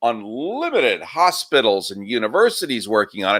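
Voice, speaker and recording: Vocal fry at a fairly slow pace, in a very clean recording with a silent background. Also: man. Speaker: talk show guest. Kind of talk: political commentary in a live discussion.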